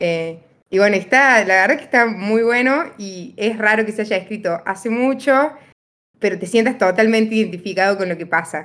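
A woman with an ordinary speaking voice talks at a fairly high pitch and a moderate pace, with ordinary pitch variation. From Argentina, Río Cuarto (Córdoba). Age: 20s. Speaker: medical student, podcast guest. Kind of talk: casual chat.

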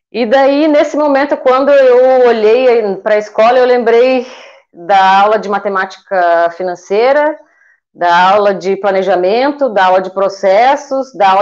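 At a fairly slow pace, a woman with a fairly high pitch and ordinary pitch variation talks in an unremarkable speaking voice. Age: 40s. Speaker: eyebrow designer, small business owner. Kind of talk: interview on a livestream.

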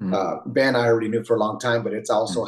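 This is a man speaking. He has a Californian accent. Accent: Californian American. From San Jose, California. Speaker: jiu-jitsu instructor. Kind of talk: casual interview.

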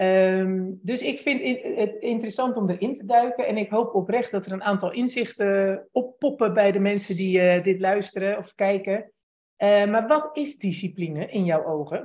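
At a moderate pace, a woman speaks in a plain, everyday voice of medium pitch with ordinary pitch variation. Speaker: podcast host interviewer. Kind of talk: casual interview chat. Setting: live video call with chat.

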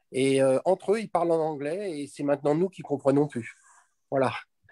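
The voice has a dark, mellow tone and ordinary pitch variation. It moves at a fairly quick pace in a dry, close sound with no echo. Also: man. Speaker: expat parent, participant. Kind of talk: live webinar Q&A.

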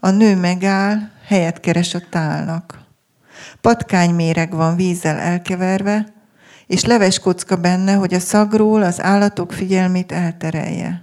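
A woman speaks at a medium pitch and a fairly slow pace, her intonation monotone and flat, in a very clean recording with a silent background. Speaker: poet and author. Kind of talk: book presentation conversation, reads a poem. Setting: festival stage with audience.

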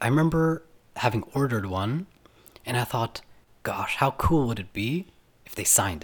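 Lively intonation marks this man's speech at a moderate pace. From Canada and Germany (mixed childhood). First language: German. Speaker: university student and DJ. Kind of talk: casual chat.

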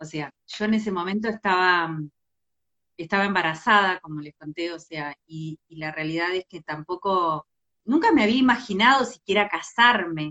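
In a Rioplatense accent, a woman talks at a medium pitch and moderate pace, with ordinary pitch variation and big swings in loudness. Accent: Argentine Spanish (rioplatense). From Argentina, Entre Ríos. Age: 40s. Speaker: LGBT rights activist. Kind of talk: livestream interview.

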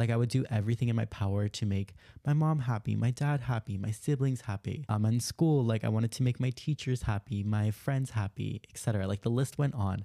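With a dark, mellow tone at medium pitch, a man talks at a fairly quick pace with ordinary pitch variation, in a very clean, dry, close recording with no echo and a silent background. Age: 20s. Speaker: self-improvement podcast host. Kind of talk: casual solo monologue. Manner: chatty, filler-heavy.

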